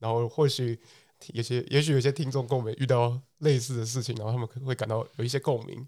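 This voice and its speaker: Monotone, flat intonation from a man at medium pitch and a very fast pace, on a very clean recording with a silent background. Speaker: podcast co-host. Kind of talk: casual chat.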